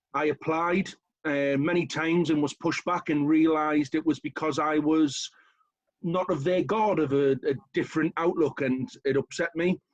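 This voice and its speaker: Sounding dry and close with no echo, a man with a northern English accent speaks at a moderate pace in a fairly high pitch, with fairly even intonation and very even loudness. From northern England, County Durham. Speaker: local councillor. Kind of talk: short talk at online event.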